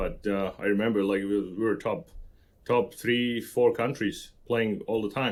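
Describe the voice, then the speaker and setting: A man with a Slovak accent, medium pitch, fairly even intonation and a moderate pace. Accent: Slovak accent, kept. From central Slovakia. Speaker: construction professional. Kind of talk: podcast interview. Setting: remote recording with podcast mic kit.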